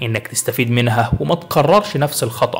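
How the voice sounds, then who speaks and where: Noticeable background noise is audible. Through it, a man talks at a medium pitch. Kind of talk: motivational self-help narration. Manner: encouraging, storytelling.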